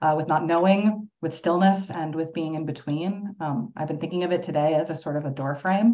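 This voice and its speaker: A woman talks at a fairly quick pace with an American accent, a fairly low pitch and ordinary pitch variation. It is an ordinary speaking voice. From US, New York City. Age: 30s. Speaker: poet. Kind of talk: poetry reading.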